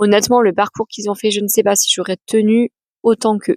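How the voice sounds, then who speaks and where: A woman of medium pitch is heard in a dry, close sound with no echo. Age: 30s. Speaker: adoptee and author giving talks. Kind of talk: personal testimony vlog. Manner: hesitant, many fillers.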